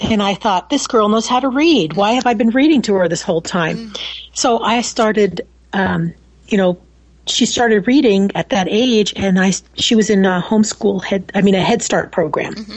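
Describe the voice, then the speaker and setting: A woman at medium pitch, a normal speaking voice, ordinary pitch variation, and a moderate pace. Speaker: homeschooling mother. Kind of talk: casual interview. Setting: remote call from home.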